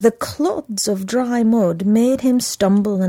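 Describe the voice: In plain reading aloud, the pitch shifts by an ordinary amount.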